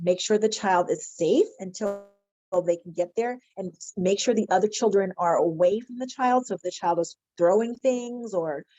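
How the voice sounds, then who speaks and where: A woman with a Philadelphia accent, medium pitch, ordinary pitch variation and a moderate pace. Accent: Philadelphia American. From Philadelphia, US. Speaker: mental health counselor. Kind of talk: webinar presentation.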